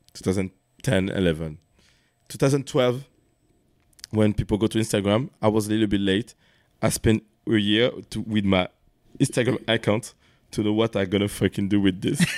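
A man with a French accent speaks at a fairly low pitch, with long, frequent pauses. The recording is very clean, with a silent background. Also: ordinary pitch variation, moderate pace. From France. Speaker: dancer, battle host and magazine founder. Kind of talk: casual chat.

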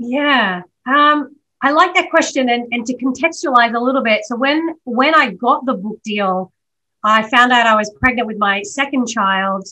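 A woman with a high pitch, a bright, sharp tone and lively intonation against a quiet background. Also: moderate pace. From Australia. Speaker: documentary producer and writer. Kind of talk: interview conversation.

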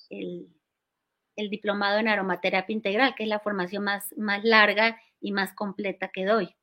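Over a silent background in a very clean recording, a woman speaks with a bright, sharp tone. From Colombia, Cali. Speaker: aromatherapy school founder. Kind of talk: interview.

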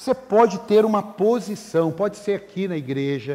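A man is speaking. His pitch swings very widely. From Brazil, Rio de Janeiro state interior. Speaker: pastor. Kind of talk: sermon. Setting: church with congregation. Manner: animated.

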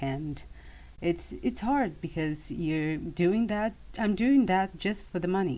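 A woman speaks in a Portuguese accent with lively intonation. Her pace is fairly slow. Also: very clean recording, silent background. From Brazil. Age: 20s. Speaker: English student. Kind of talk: casual chat. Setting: in a closet at home.

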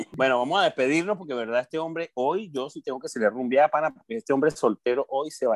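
A man talks at a very fast pace with hardly any pauses, his pitch fairly high and his intonation lively. His tone is animated, with big swings in loudness, and the sound is dry and close with no echo. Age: 40s. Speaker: podcast co-host. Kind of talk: casual chat.

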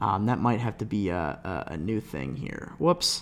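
In a very clean recording with a silent background, a man with a slight Midwestern US accent speaks at a medium pitch. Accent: light Midwestern American. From US Midwest (Cleveland). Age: 20s. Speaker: podcast host, college student. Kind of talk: casual solo monologue. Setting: home desk microphone. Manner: rambling, filler-heavy.

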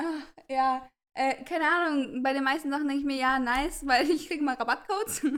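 A woman speaks in a high pitch. Her pace is fairly quick. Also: ordinary pitch variation. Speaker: podcast co-host. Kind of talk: casual chat.

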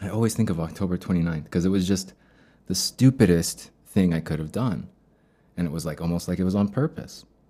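Over a very clean recording with a silent background, a man speaks at a fairly quick pace with a very deep, low pitch. His tone is dark and mellow, and his pitch variation is ordinary. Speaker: podcast host, day trader. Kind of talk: solo monologue about trading. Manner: halting, many fillers; different cadence in loss episodes.

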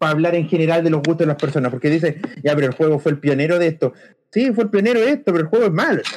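Speaking at a very fast pace with a Chilean accent, a man uses lively intonation at a fairly high pitch. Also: very even loudness. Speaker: podcast co-host. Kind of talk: casual chat.

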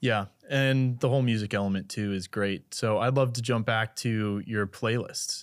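A plain, everyday voice at a moderate pace, with fairly even intonation. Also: man, medium pitch for a man, very clean recording, silent background. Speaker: podcast host. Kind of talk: casual interview.

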